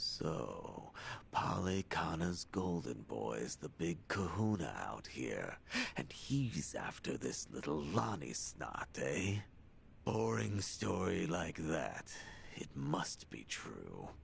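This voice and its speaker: Clear background noise sits behind a man in a put-on character voice, very deep and low. He speaks at a very slow pace with very wide pitch swings. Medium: video game. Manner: gruff, sardonic.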